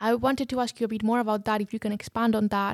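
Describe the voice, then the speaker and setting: A woman with an unremarkable speaking voice, fairly high pitch and fairly even intonation, in a very clean recording with a silent background and a dry, close sound with no echo. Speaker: podcast host. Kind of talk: interview for a student podcast.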